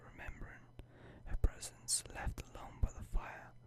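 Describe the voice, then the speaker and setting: Whispering comes through at a fairly slow pace. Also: man. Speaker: ASMR creator. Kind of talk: bedtime story reading. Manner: whispered.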